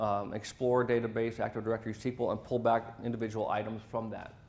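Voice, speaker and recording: A man talks at a very fast pace, with audible room echo. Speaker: sales territory manager presenting at a tech event. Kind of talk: conference presentation.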